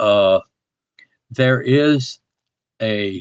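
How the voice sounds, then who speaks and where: With a medium pitch and ordinary pitch variation, a man's voice comes through dry and close, with no echo. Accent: Southern US. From US South, rural Alabama. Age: 80s+. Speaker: alleged alien abductee. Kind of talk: interview testimony. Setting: online audio space. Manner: halting, many repetitions.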